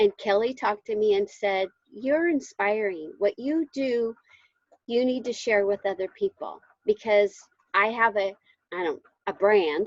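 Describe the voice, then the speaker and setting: Fairly slowly and with long, frequent pauses, a woman speaks at a fairly high pitch with ordinary variation, the sound dry and close with no echo. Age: 60s. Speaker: fitness coach. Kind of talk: casual testimony on video call. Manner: enthusiastic.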